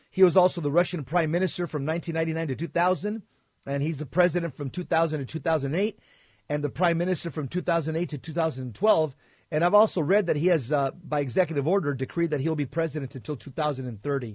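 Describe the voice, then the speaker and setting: Over a quiet background, a man talks at a very fast pace. His pitch is fairly high, with ordinary variation. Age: 60s. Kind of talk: casual chat.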